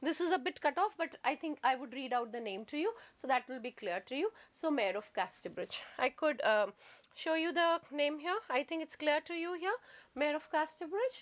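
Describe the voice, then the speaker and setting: The voice has very wide pitch swings and a dry, close sound with no echo. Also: woman, high pitch for a woman. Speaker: teacher. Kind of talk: lecture. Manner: fast.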